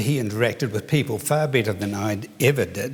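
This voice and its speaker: A man talks at a moderate pace in a New Zealand accent. His voice is somewhat breathy, with lively intonation. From New Zealand, Palmerston North. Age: 70s. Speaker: children's author. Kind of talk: award lecture.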